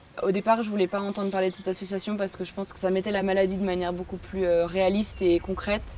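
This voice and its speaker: A woman talks at a very fast pace in a medium pitch with monotone, flat intonation. Noticeable background noise sits behind her. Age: 20s. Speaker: patient. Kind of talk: testimony. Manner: hesitant, many fillers.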